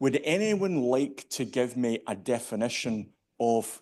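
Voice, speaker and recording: In a Scottish accent, a man talks at a fairly slow pace and medium pitch with ordinary pitch variation against a quiet background. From Scotland, Glasgow. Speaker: standards industry leader. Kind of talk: conference keynote speech. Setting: stage with audience.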